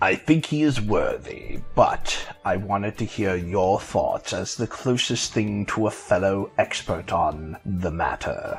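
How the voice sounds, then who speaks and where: A man's put-on character voice, fairly low in pitch and fairly slow in pace, with faint music in the background. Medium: audio drama. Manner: formal, stiff.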